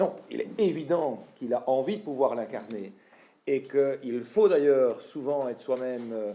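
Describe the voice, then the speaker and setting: At a fairly slow pace, a man speaks with a medium pitch, a dark, mellow tone and lively intonation. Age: 40s. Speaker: party leader and politician. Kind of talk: political speech. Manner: hesitant, frequent filler sounds.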